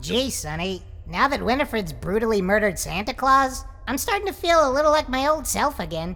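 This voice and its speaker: A cartoonish character voice, female-sounding and high-pitched, comes through over light background noise. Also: fairly quick pace. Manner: eager, stammering.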